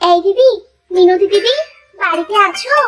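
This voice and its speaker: In a cartoonish character voice, a woman sounds squeaky and extremely high-pitched, with ordinary pitch variation. Music plays in the background. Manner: brisk, scolding.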